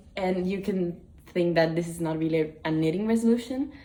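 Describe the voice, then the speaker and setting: Noticeable background noise sits behind the voice. The pitch varies in an ordinary way. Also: woman. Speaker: knitting vlogger. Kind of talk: casual vlog talk. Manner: hesitant, many fillers.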